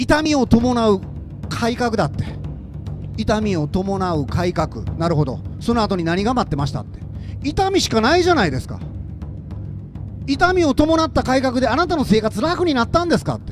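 Over music in the background, a man talks at a moderate pace in an extremely high pitch with very wide pitch swings and long, frequent pauses. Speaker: politician. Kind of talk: political stump speech. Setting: outdoors. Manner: impassioned, emphatic.

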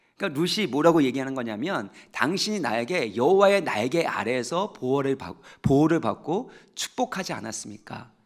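A man with fairly high pitch speaks at a moderate pace, barely pausing. His pitch swings very widely against a quiet background. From South Korea. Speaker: pastor. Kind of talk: sermon. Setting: church. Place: church. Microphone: headset.

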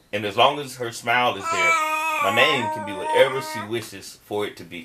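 Against loud background noise, a man with an American accent talks at a fairly quick pace, with ordinary pitch variation and big swings in loudness. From US South. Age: middle-aged. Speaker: spoken word poet. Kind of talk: spoken word poetry performance. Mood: warm, tender, gently humorous.

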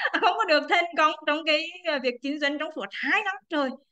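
A high-pitched woman at a fairly quick pace against a quiet background. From Quảng Trị, central Vietnam; Vietnam. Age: 30s. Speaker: businesswoman. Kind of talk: testimony. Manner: halting. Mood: cheerful, smiling. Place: home room. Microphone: video call.

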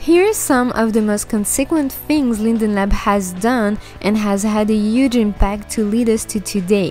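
A fairly slow woman's voice in a French accent, fairly high in pitch with ordinary pitch variation, music in the background. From France. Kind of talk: documentary narration.

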